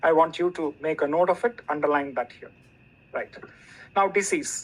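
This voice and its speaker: A man's pitch moves in an ordinary way as he talks at a moderate pace. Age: 60s. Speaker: retired professor giving a product training. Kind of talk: online training presentation.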